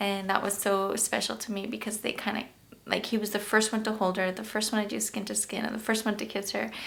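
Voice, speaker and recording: A woman's medium-pitched voice with vocal fry. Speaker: YouTube vlogger, new mother. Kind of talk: personal storytelling vlog. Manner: emotional, shaky.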